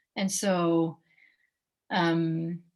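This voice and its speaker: A woman speaks with a French accent at a fairly low pitch. Her intonation is monotone and flat. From France. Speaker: professional basketball player. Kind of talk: interview. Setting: video call.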